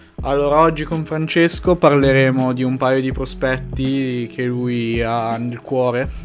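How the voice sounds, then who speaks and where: Over noticeable background noise, a man at a medium pitch speaks at a fairly slow pace with hardly any pauses and fairly even intonation. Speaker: podcast host. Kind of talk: casual chat.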